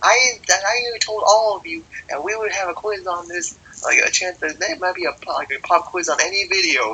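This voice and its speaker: A man puts on a whiny character voice, high in pitch. He speaks at a moderate pace in a raised, projected voice. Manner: whining, complaining.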